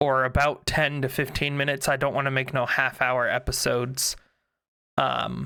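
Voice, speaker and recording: A man's bright, sharp voice at medium pitch, monotone and flat, in a very clean recording with a silent background. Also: moderate pace. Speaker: YouTube content creator. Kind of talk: casual channel update. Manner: halting, many fillers; unscripted, conversational.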